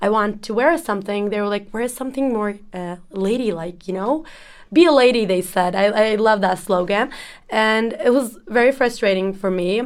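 A woman with a Turkish accent speaks at a medium pitch and moderate pace, with ordinary pitch variation, on a very clean recording with a silent background. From Turkey, Ankara. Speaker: exchange student. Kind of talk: casual chat.

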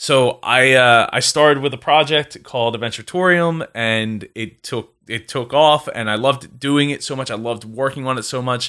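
On a very clean recording with a silent background, a man talks at a moderate pace in a bright, sharp tone, medium pitch and ordinary pitch variation. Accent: Philadelphia. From South Jersey, US. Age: 20s. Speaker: entrepreneur and podcaster. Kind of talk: casual interview.

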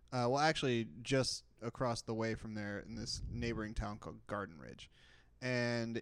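This man has a plain, everyday voice at a medium pitch with ordinary pitch variation. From Texas. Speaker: podcast co-host. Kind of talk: casual chat.

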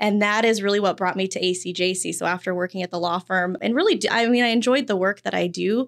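A woman talks at a very fast pace with hardly any pauses, medium pitch and ordinary pitch variation. The recording is very clean with a silent background. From Wyoming. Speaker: government victim services program manager. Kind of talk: podcast interview.

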